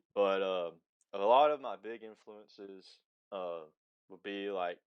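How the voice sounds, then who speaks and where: Speaking slowly in a Southern US accent, a man with a fairly low pitch shows ordinary pitch variation and big swings in loudness. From Alabama (Huntsville). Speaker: musician. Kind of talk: interview.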